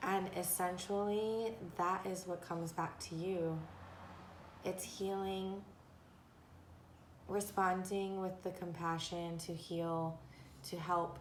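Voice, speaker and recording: In a room with audible echo, a woman speaks very slowly at a medium pitch, monotone and flat, with long, frequent pauses. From Japan and Korea in early childhood. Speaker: tarot and oracle card reader. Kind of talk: oracle card reading monologue. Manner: halting, with many fillers.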